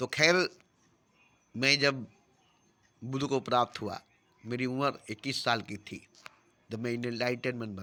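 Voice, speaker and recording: With a bright, sharp tone, this man talks at a medium pitch. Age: 60s. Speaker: self-styled spiritual teacher. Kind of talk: spiritual discourse.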